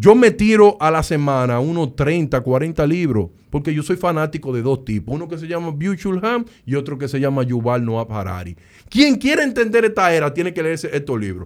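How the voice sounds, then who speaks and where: A Dominican accent at a moderate pace, with very wide pitch swings, in a very clean recording against a silent background. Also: man, fairly high pitch for a man. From Dominican Republic, Sosúa. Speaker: data scientist. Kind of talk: casual interview. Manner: animated.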